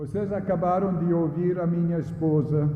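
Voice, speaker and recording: A man with a northeast English accent, amid audible room echo. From northeast England. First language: English (speaking Portuguese). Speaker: retired missionary pastor. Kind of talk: sermon. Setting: church.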